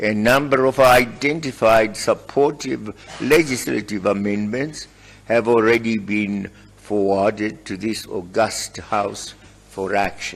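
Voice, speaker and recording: At a very slow pace, a man talks at a fairly low pitch with ordinary pitch variation. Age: 80s+. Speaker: head of state. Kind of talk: formal speech to parliament.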